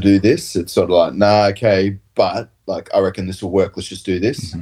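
At a fairly quick pace, a man speaks with an Australian accent at a fairly low pitch. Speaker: professional rugby player. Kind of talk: casual chat. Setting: video call.

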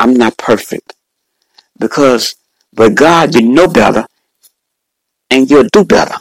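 Fairly slow with long, frequent pauses, a man at medium pitch uses lively intonation and very even loudness, with a dry, close sound and no echo. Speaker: preacher and podcast host. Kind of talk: sermon, preacher in full flow. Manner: fervent, animated, rhythmic, repeating praise phrases and exclamations.

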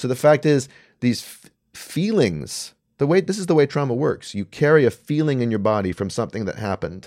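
A man with a Canadian accent at medium pitch, fairly quick, with very wide pitch swings, on a very clean recording with a silent background. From Canada. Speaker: writer and commentator. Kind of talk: casual chat. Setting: studio.

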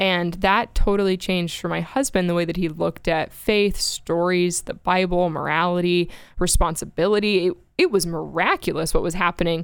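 A woman talks at a fairly quick pace in a fairly low, plain, everyday voice, with an American accent and fairly even intonation. The recording is very clean, with a silent background. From Florida. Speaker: radio show staffer and writer. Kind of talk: casual interview chat about her life story. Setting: studio.

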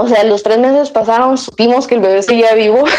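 Music plays in the background behind a woman with a fairly high pitch. Her ordinary pitch variation comes through in a dry, close sound with no echo. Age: 30s. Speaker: mother sharing her experience. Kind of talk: casual interview conversation.

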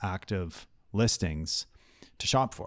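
On a very clean recording with a silent background, a man uses a normal speaking voice, fairly low in pitch, with ordinary pitch variation. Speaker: realtor. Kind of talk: casual interview chat. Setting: studio.

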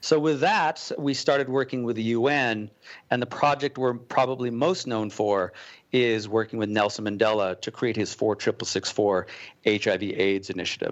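At a moderate pace, an unremarkable speaking voice with an American accent talks with ordinary pitch variation. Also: man, medium pitch for a man. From Colorado. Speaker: cause-brand entrepreneur. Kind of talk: interview.

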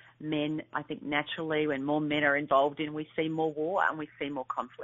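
A woman speaks with an Australian accent. Her pitch is very deep and low. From rural Australia. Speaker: author and speaker. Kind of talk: interview. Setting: phone call. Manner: fast talker.

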